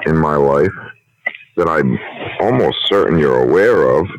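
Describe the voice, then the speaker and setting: A man talks at a fairly slow pace. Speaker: prank call recipient. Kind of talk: phone conversation. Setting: phone call.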